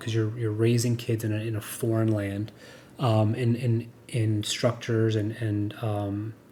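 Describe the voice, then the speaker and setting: A man speaks at a medium pitch in a dark, mellow tone that is somewhat breathy. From United States. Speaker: podcast co-host. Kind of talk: casual chat. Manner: halting, many repeated words and fillers.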